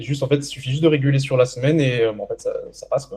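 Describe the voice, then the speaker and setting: The voice is somewhat breathy with a dark, mellow tone and moves at a very fast pace. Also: man. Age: 20s. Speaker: young entrepreneur and coaching client. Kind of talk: interview testimony. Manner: hesitant, many fillers.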